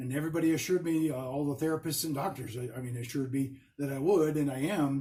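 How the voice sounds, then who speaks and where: A man's somewhat breathy, dark and mellow voice, fairly high for a man, at a very fast pace with fairly even intonation. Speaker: stroke survivor vlogger. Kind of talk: personal video diary. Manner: stuttering, halting.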